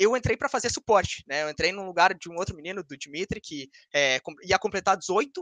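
A man speaks in a raised, projected voice, high-pitched with a bright, sharp tone. The background is quiet and the sound is dry, with no echo. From Brazil. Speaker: esports player; guest. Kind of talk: interview. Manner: fast. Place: home room. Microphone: video call.

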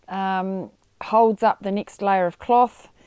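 Over a quiet background, a woman with a dark, mellow tone speaks at a fairly slow pace with fairly even intonation, the sound dry with no echo. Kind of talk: tutorial. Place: garden.

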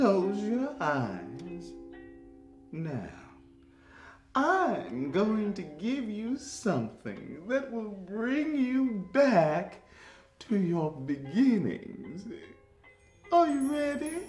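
Speaking very slowly at a medium pitch, a woman swings her pitch very widely, leaves long, frequent pauses, and carries an audible echo. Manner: cooing, soothing.

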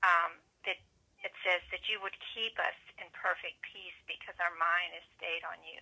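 A woman talks at a moderate pace with big swings in loudness against a quiet background. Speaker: prayer call participant. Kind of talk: prayer. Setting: phone prayer line. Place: office. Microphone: webcam.

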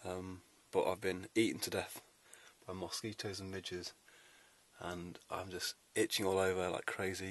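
A man's fairly low voice at a moderate pace, dry with no echo. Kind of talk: casual vlog chat. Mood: wry, itchy and irritated. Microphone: phone near.

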